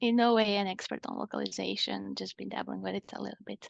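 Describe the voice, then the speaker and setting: In a Croatian accent, the speaker goes at a fairly quick pace, the sound dry and close with no echo against a quiet background. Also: woman. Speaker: iOS developer and conference speaker. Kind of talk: conference-style talk. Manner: hesitant, many fillers.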